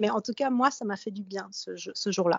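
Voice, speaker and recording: The clip carries a normal speaking voice with ordinary pitch variation at a moderate pace. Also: woman. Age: 40s. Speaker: podcast host sharing breast cancer experience. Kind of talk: casual chat, personal testimony. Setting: remote call with co-host.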